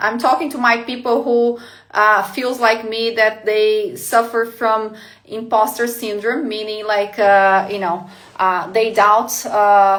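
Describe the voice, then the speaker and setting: A woman's fairly high voice, delivered at a fairly slow pace. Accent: Portuguese. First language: Portuguese. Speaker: life coach. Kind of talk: live motivational talk. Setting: livestream. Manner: hesitant, many fillers.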